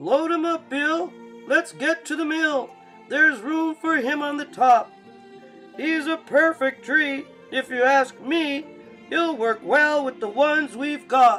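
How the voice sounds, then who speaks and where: Clear music plays in the background as a put-on character voice with a high pitch speaks at a fairly slow pace. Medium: read story.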